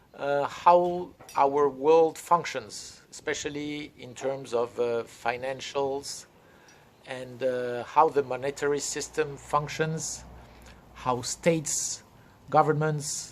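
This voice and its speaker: In a French accent, a man speaks at a very slow pace with a fairly high pitch. His intonation is fairly even, while his loudness swings widely. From France. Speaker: crypto consultant and trainer. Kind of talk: lecture-style training session. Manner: halting, many fillers.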